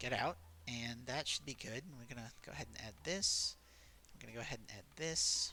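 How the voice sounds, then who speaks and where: A man with a medium-pitched voice, a bright, sharp tone and vocal fry speaks at a fairly quick pace. Both his pitch and loudness swing widely. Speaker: gaming video creator. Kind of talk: gameplay commentary.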